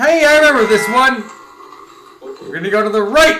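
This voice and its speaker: In a room with audible echo, a man with an extremely high voice speaks at a moderate pace, raised and projected, with ordinary pitch variation. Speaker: gaming streamer. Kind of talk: live gameplay commentary. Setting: live stream. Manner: loud; animated.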